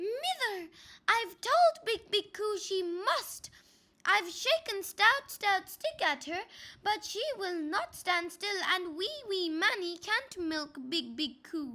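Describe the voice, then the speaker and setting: A woman puts on a character voice. It sits extremely high in pitch and moves at a fairly slow pace. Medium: read story. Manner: repetitive, plaintive.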